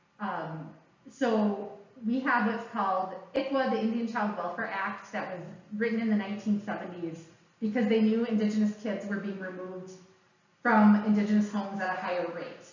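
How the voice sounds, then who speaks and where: A woman with an American accent talks at a moderate pace in a medium pitch with fairly even intonation, over noticeable background noise and audible room echo. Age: 40s. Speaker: educator and speaker. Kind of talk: public presentation. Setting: library talk with live audience.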